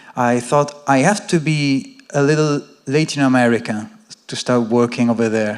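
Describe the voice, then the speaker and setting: A man with a non-native accent, medium pitch, ordinary pitch variation and a moderate pace. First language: not English. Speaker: academic audience member. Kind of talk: audience question. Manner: halting.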